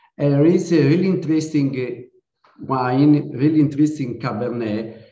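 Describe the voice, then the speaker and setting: A man's fairly high-pitched voice with an Italian accent, at a fairly slow pace. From Sardinia, Italy. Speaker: winemaker. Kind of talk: interview. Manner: halting.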